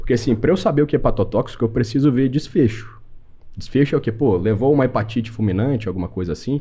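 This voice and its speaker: A man talks at a very fast pace, his medium-pitched voice dark, mellow and somewhat breathy. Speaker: medical doctor. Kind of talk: podcast interview. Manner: casual.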